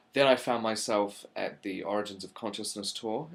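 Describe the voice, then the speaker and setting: Here a man speaks in a New Zealand accent. His pitch is fairly low and his intonation fairly even. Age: 20s. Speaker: channel presenter. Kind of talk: casual monologue to camera. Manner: hesitant, many fillers.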